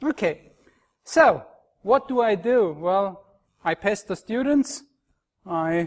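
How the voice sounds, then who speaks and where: Very slowly, a man with an Austrian accent speaks with lively intonation. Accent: Austrian German accent, noticeable. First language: German. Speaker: university lecturer. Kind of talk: conference talk. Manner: hesitant, with fillers and restarts.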